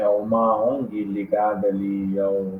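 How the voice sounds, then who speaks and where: A man with a Rio de Janeiro accent is heard against noticeable background noise. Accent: Carioca Brazilian Portuguese. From Rio de Janeiro, Brazil. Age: 30s. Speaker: political strategist. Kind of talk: podcast interview.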